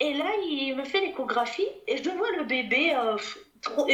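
A woman's voice with audible room echo. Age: 30s. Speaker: private detective and mother. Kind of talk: testimony.

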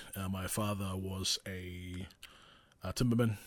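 Monotone and flat, a man's voice sits at a very deep, low pitch. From New Zealand, Porirua (Wellington region). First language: Maori. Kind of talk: casual solo monologue. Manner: hesitant, many fillers.

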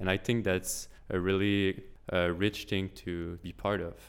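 A man speaks with a French accent at a fairly low pitch. The recording is very clean, with a silent background. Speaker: engineering intern.

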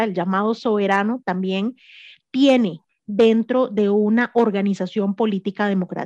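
In a normal speaking voice, a woman talks at a fairly slow pace with ordinary pitch variation, the sound dry and close with no echo over a quiet background. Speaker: political scientist, researcher. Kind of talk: radio interview.

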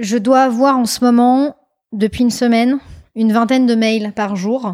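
A normal speaking voice comes through on a very clean recording with a silent background. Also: woman. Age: 30s. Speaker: scientist and company CEO. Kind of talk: interview.

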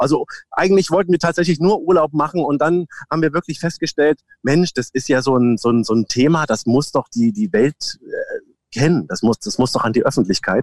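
A man with a southern German accent speaks at a fairly high pitch with lively intonation. His pace is fairly quick and the sound is dry and close with no echo. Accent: southern German sounding. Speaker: voice imitator. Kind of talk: casual chat.

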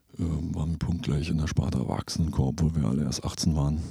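With a very deep, low pitch, a man speaks in fairly even intonation. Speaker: composer and podcast host. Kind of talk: casual chat. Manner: halting, many filler sounds.

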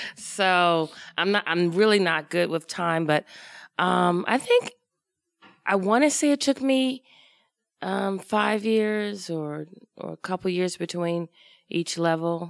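A woman with an American accent, fairly low in pitch, very slow, with long, frequent pauses and ordinary pitch variation. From US, Washington, D.C. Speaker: improv comedian. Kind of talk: live podcast interview. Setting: stage with live audience.

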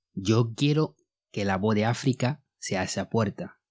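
Recorded very cleanly against a silent background, a man uses a plain, everyday voice with ordinary pitch variation at a fairly slow pace. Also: dry, close sound with no echo. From Mali. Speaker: podcast host. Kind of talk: podcast monologue; educational narration.

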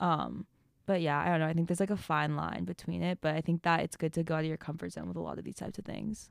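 On a very clean recording with a silent background and a dry, close sound with no echo, a woman talks at a very fast pace. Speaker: college student podcaster. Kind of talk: casual chat.

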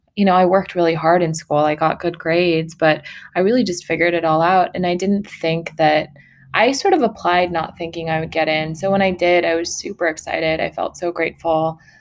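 On a very clean recording with a silent background, a woman with a Californian accent talks at a fairly quick pace in a fairly low pitch, her intonation fairly even. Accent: Californian American. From Sacramento, California (partly Mongolia). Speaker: entrepreneur. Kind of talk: interview.

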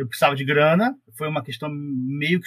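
Fairly quick and fairly high-pitched, a man speaks in a plain, everyday voice with fairly even intonation. The sound is dry and close, with no echo. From Rio de Janeiro state, Brazil (Paracambi, Baixada Fluminense). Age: 40s. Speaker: astronomy researcher. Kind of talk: casual interview.

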